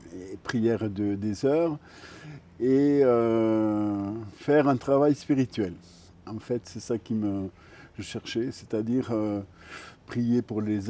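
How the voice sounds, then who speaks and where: A man's medium-pitched voice, very slow, with a dark, mellow tone and ordinary pitch variation. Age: 60s. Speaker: retired care assistant, pilgrim. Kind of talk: interview testimony. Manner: hesitant, many fillers.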